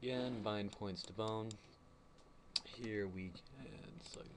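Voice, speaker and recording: Against audible room echo, a man talks at a fairly slow pace with a fairly low pitch and ordinary pitch variation. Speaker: animation tutorial maker. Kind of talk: tutorial. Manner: halting, many fillers and repeats.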